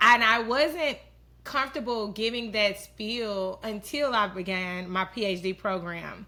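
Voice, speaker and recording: The tone of this woman's voice is bright and sharp. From Houston, Texas. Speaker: public health researcher. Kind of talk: casual interview.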